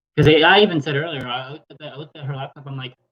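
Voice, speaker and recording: A man talks at a very fast pace. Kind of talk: casual chat. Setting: livestream on laptop. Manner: loud.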